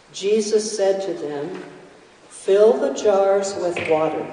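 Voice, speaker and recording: Speech from a woman comes out at a very slow pace. There is noticeable noise in the background. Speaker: scripture reader. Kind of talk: reading aloud. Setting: church.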